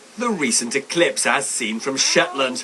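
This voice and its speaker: A man speaks at a moderate pace in a fairly high pitch, his voice swinging very widely up and down over noticeable background noise. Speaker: economics editor. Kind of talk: TV news report. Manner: highly varied intonation, high pre-heads, rising heads.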